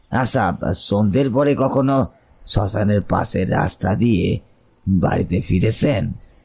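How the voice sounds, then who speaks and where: Using a put-on character voice, a man with a fairly low pitch speaks at a fairly slow pace. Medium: audio drama. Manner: earnest, confiding.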